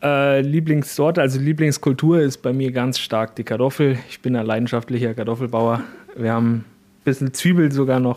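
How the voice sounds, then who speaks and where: An unremarkable speaking voice from a man, medium pitch, ordinary pitch variation, moderate pace. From Bavaria, south of Regensburg. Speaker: organic farmer. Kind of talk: interview.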